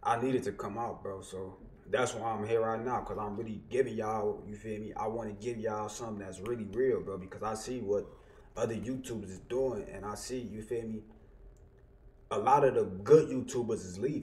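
A man at a fairly quick pace with fairly even intonation, light background noise behind him. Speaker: YouTuber, streamer. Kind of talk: casual vlog chat. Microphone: headset.

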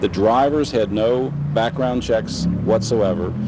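A man with ordinary pitch variation, a dry sound with no echo, and noticeable background noise. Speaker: interviewee. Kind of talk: interview answer. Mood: critical, earnest. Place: street.

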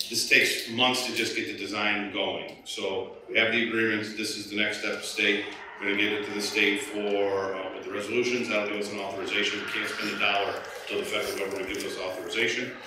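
Over noticeable background noise and strong room echo, a man talks at a very fast pace in a fairly low pitch with monotone, flat intonation. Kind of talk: meeting presentation answering questions. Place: meeting room.

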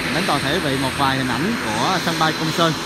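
The speech moves at a fairly quick pace. The sound is dry with no echo, under loud background noise. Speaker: travel vlogger. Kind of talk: casual travel vlog commentary. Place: street. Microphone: phone near.

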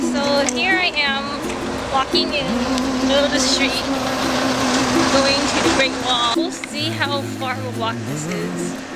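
Music plays in the background as a woman talks at a moderate pace with long, frequent pauses. The sound is dry, with no echo. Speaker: traveler vlogger. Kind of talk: casual vlog chat. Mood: cheerful, playful. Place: street. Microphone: phone near.

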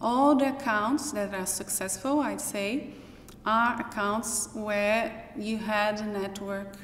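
Over light background noise and audible room echo, a woman with a Brazilian accent talks at a very slow pace with ordinary pitch variation. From Brazil (Minas Gerais). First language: Portuguese. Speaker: professor. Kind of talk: personal testimony; interview answer. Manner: halting. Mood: reflective, personal. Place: hall.

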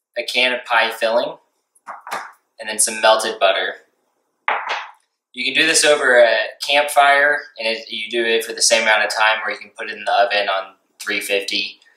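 At a moderate pace, a man talks in a space with audible room echo and light background noise. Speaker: outdoor cooking channel host. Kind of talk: cooking tutorial. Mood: relaxed, friendly. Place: kitchen. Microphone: camera far.

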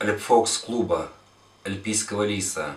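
Audible room echo fills the recording. The voice belongs to a man. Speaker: club host. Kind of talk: casual vlog intro to a cooking tutorial. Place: kitchen.

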